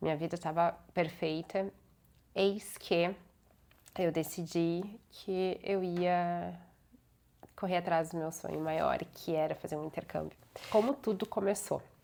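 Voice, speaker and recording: The voice has a dark, mellow tone and fairly even intonation, moving at a fairly slow pace with long, frequent pauses. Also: woman, fairly low pitch for a woman. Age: 20s. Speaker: vlogger, lawyer. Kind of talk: personal vlog monologue.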